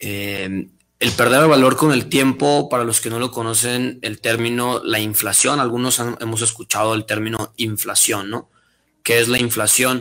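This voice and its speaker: A man with a bright, sharp tone speaks at a medium pitch and moderate pace with fairly even intonation. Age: young. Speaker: finance and business guest. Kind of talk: casual interview.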